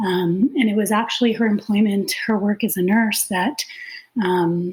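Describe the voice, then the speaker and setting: A woman speaks at a fairly slow pace in a plain, everyday voice, her medium pitch moving with ordinary variation and her loudness very even. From Canada. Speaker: nurse and clinical informatics consultant. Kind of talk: podcast interview.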